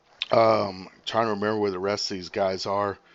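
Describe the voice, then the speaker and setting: In a quiet background, a man with a plain, everyday voice speaks at a fairly low pitch and a moderate pace, his intonation fairly even. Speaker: live streamer. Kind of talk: live stream commentary. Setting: live stream with viewer call-in.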